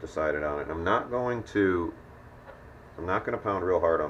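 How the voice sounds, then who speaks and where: Noticeable background noise accompanies a man who delivers his words at a fairly quick pace. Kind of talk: instructional DIY demonstration. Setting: garage, close-up hobby recording with handwork sounds. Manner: soft-spoken, relaxed.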